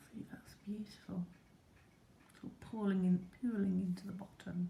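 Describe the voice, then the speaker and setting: The voice is a whisper. It moves at a moderate pace. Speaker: product reviewer. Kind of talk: product review demonstration. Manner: whispering; halting.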